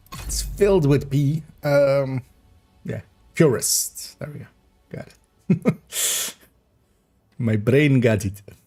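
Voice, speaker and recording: Over music in the background, a man with a fairly high pitch speaks very slowly with lively intonation. He pauses long and often, and his loudness swings widely. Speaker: gaming streamer. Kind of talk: casual livestream chat.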